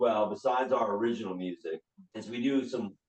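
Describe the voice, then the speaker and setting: Speaking at a fairly quick pace, a man uses a normal speaking voice with lively intonation. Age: 60s. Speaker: rock singer and band leader. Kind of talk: casual interview chat. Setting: podcast interview.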